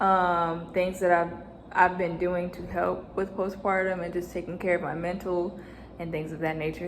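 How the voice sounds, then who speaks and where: A woman speaks at a medium pitch. Audible room echo and noticeable background noise fill the recording. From United States. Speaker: vlogger and new mother. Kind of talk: personal vlog storytelling.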